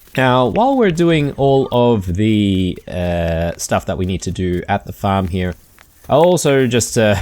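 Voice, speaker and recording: A man talks with an Australian accent. His pace is fairly slow. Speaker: gaming YouTuber. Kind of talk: let's play commentary. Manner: casual, hesitant with many fillers.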